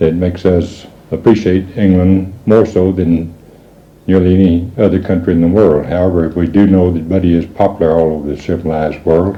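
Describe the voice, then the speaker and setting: A man with a West Texas accent, a very deep, low pitch and fairly even intonation at a fairly quick pace, with audible room echo and noticeable background noise. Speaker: parent of a late singer. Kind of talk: message to listeners. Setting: own home. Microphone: old amateur recording, poor quality.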